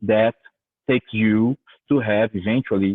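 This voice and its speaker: With a Brazilian Portuguese accent, a man talks at a moderate pace in a fairly low pitch. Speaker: university professor. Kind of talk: lecture. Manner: repetitive, hesitant.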